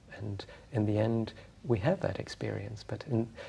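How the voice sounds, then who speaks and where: A man's fairly low, calm voice with vocal fry, at a moderate pace. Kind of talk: calm talk about meditation in an interview. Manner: soft-spoken, calm.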